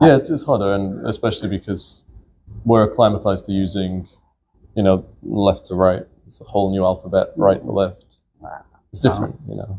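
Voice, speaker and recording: Fairly quick speech from a man at a fairly low pitch, with ordinary pitch variation, big swings in loudness and long, frequent pauses, music in the background. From northern England, St Helens near Liverpool. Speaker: comedian. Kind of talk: casual interview chat.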